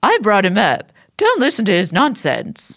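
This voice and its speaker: A woman puts on a character voice at a fairly high pitch. She moves at a moderate pace with very wide pitch swings. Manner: matronly, scolding.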